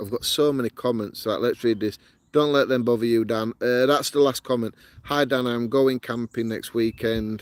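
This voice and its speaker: A man speaks in a strong northern English accent at a medium pitch. His moderate pace comes through with a dry, close sound and no echo. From northern England, Yorkshire. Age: 40s. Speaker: outdoor camping vlogger. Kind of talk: live stream chat, reading comments. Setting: outdoors in woodland. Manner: animated.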